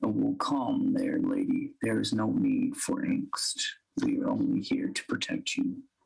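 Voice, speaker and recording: This man is doing a put-on character voice. He talks at a moderate pace. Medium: actual play. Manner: formal, gentle.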